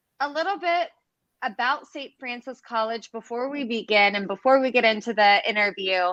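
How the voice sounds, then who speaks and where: Speaking in an American accent at a moderate pace, a woman has a high pitch, a bright, sharp tone and lively intonation. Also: big swings in loudness. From United States. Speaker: webinar host. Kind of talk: live interview.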